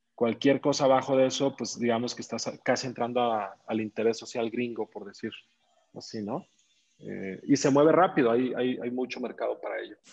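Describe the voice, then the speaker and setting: A man with a Mexican accent at medium pitch, ordinary pitch variation, big swings in loudness and a moderate pace. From Mexico, Zacatecas. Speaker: real estate investor and entrepreneur. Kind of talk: interview.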